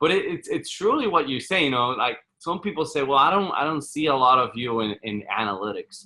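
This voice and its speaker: Speaking fairly quickly with a Spanish accent, a man with a fairly high voice uses lively intonation and hardly any pauses. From Puerto Rico. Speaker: real estate fund manager. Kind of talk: podcast interview. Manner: halting, many repetitions.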